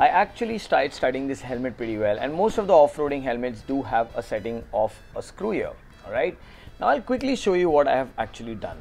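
Music plays in the background as a man speaks at a very fast pace. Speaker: motorcycle vlogger. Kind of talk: casual tutorial vlog. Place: home room. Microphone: phone near.

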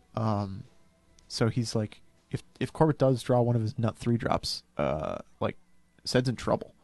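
A man speaks at a fairly slow pace, leaving long, frequent pauses, with ordinary pitch variation. The sound is dry with no echo, and faint music plays in the background. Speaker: game commentator. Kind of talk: live commentary. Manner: quiet, trying not to be overheard. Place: booth. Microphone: headset.

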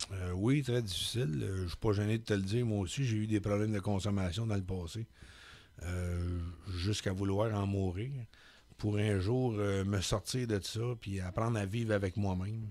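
A man speaks with a fairly low pitch and a dark, mellow tone. His intonation stays fairly even. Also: moderate pace. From Quebec, Laurentians countryside; Quebec. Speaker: poet and public speaker; poet, public speaker. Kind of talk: radio interview. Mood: calm, reflective, candid. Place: studio. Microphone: studio mic.

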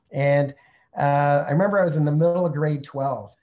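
Against a quiet background, a man with a Canadian accent talks at a fairly quick pace in a dark, mellow tone with fairly even intonation. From Canada (Montreal, then Calgary). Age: 50s. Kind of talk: webinar Q&A. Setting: online video call from Mexico. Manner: friendly, conversational. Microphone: video call.

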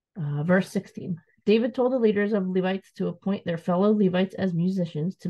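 A woman talks at a fairly quick pace, her voice somewhat breathy. The background is quiet. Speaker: scripture reader. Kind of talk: reading aloud. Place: home room. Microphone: webcam.

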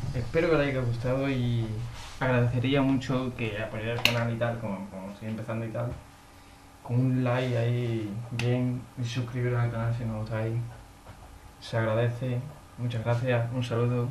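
The speech comes at a moderate pace in a monotone, flat intonation. Noticeable background noise and audible room echo fill the recording. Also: man, medium pitch for a man. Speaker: gaming YouTuber. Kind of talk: gameplay commentary.

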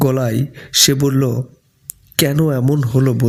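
Fairly level intonation runs through an unforced reading voice.

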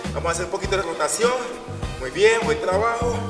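A man's voice over clear music in the background. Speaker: fitness instructor. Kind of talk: workout instruction, counting reps. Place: open country. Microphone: camera far.

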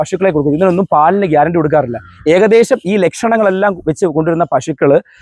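The tone is animated, and the sound is dry and close with no echo. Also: man. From Kerala, Kollam district. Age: 20s. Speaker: cattle trader. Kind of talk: interview with sales pitch.

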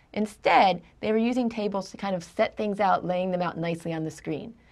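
In a quiet background, a woman talks at a fairly quick pace with lively intonation. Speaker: instructor. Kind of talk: lecture. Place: studio.

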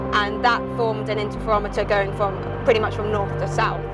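A woman at a fairly quick pace, dry sound with no echo, loud music behind her. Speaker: presenter. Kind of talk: explanatory commentary. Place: car. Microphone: phone near.

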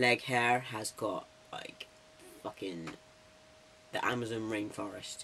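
A very slow pace and ordinary pitch variation mark the speech, with noticeable background noise throughout. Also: man. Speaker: vlogger documenting transition. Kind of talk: casual vlog. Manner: chatty, rambling.

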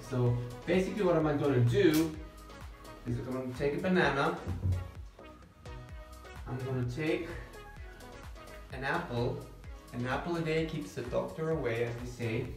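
Long, frequent pauses break up a man's speech at a moderate pace. Audible room echo and clear background music surround him. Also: ordinary pitch variation. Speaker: nutrition club host. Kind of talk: casual vlog chat. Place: kitchen. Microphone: phone near.

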